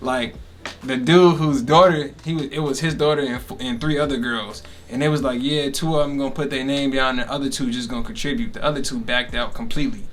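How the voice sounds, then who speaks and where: The voice races along at a very fast pace with ordinary pitch variation, with audible room echo and noticeable background noise. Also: man, fairly high pitch for a man. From Chicago area, Illinois. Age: 20s. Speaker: podcast host, recent college student. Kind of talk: casual chat.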